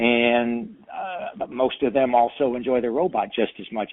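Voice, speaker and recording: A man's unremarkable speaking voice at medium pitch with lively intonation. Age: 60s. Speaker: magician and children's entertainer. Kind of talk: interview.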